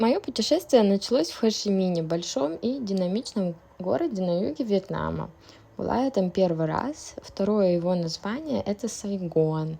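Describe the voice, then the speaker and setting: The woman speaks at a medium pitch with lively intonation. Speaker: traveler. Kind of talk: travel vlog narration. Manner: slow, clear, relaxed.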